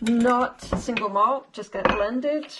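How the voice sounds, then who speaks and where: A woman with a Scottish accent, fairly high-pitched and moderate in pace, over noticeable background noise. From Scotland. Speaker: home cook. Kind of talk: tutorial.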